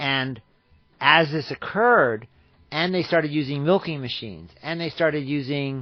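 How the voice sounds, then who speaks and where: With an American accent, a fairly high-pitched man speaks at a moderate pace and with ordinary pitch variation. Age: 60s. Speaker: radio show guest on farming. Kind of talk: radio talk interview. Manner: halting with repetitions.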